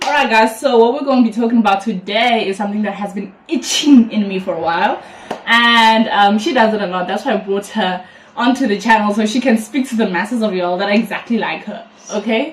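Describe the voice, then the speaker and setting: Against noticeable background noise, a woman with a fairly high pitch sounds animated and talks at a fairly quick pace. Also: ordinary pitch variation. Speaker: YouTuber. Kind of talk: casual chat. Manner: expressive, animated.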